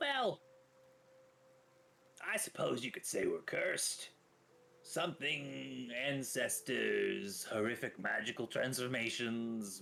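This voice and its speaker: Doing a put-on character voice, a man speaks very slowly at a medium pitch. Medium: actual play. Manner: casual, chatty, offhand.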